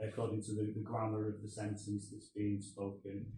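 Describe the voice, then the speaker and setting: A man's medium-pitched, somewhat breathy voice carries audible room echo. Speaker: postgraduate researcher. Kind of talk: academic presentation. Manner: hesitant, many fillers.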